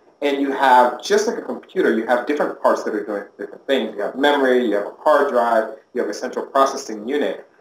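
Recorded with audible room echo and light background noise, a man talks at a very fast pace with hardly any pauses and ordinary pitch variation. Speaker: interviewee. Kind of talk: interview answer. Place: office.

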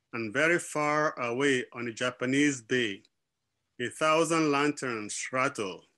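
The background stays quiet while a man speaks at a fairly slow pace. His tone is bright and sharp, with ordinary pitch variation. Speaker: literary editor and publisher. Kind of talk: event welcome. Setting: video call. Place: home room. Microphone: webcam.

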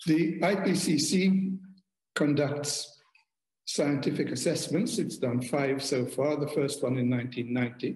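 Very slowly, a man speaks at a fairly high pitch with ordinary pitch variation and a somewhat breathy sound. His loudness is very even, and there is audible room echo against a quiet background. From Malta. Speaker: former diplomat; speaker. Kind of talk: keynote speech. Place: home room. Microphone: webcam.

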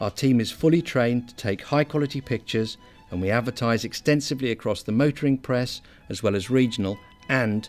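Over background music, a man talks fairly quickly at a medium pitch with ordinary pitch variation.

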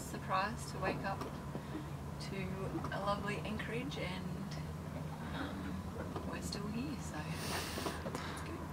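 A woman talks at a fairly slow pace. Loud background noise runs under her voice. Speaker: sailing vlogger. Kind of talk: casual vlog chat. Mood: relaxed, content. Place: boat. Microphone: camera far.

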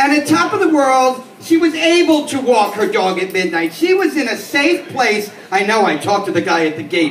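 With audible room echo and light background noise, a man talks at a moderate pace in an extremely high voice with very wide pitch swings. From New York City, the Bronx. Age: 50s. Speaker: stand-up comedian. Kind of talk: stand-up. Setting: stage with small audience. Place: bar.

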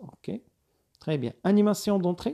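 This speaker talks at a fairly quick pace in a Moroccan accent. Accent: Moroccan Arabic with French code-switching. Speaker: video editing instructor. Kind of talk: screen-recorded tutorial.

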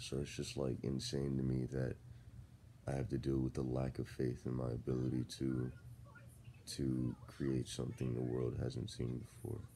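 Relaxed and at a moderate pace, a man speaks with very deep, low pitch and a dark, mellow tone, his loudness very even and his intonation monotone and flat, over light background noise. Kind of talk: casual vlog rant. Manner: drowsy, just-woke relaxed talk. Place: home room. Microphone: phone near.

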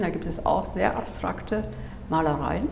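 With lively intonation, a woman talks at a moderate pace amid audible room echo and light background noise. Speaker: gallery owner. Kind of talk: interview answer. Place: home room.

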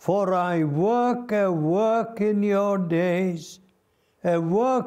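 Against a quiet background, a man speaks at a very slow pace. His high-pitched voice is dark and mellow, with ordinary pitch variation. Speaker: preacher. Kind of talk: sermon. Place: studio. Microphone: lapel.

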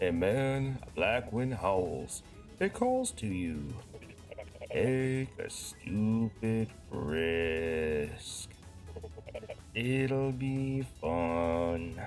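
A put-on character voice, low in pitch, moves at a very slow pace with long, frequent pauses over clear music in the background. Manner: slow, mopey.

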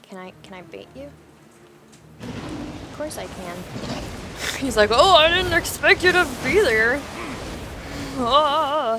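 A woman's high, raised, projected voice in a playful tone, at a very slow pace with long, frequent pauses, very wide pitch swings and big swings in loudness, over noticeable background noise. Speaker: gaming YouTuber. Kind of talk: live gaming commentary. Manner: casual, chatty, playful banter with the game.

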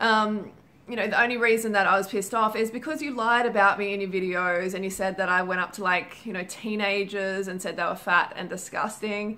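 A woman at a moderate pace, with fairly even intonation. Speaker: vlogger. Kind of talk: casual vlog chat.

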